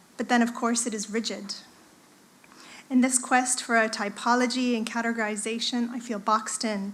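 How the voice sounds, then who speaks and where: A woman with an American accent speaks at a high pitch. Her intonation is monotone and flat, at a moderate pace. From United States. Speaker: art lecturer and artist. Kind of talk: conference presentation. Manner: hesitant with fillers.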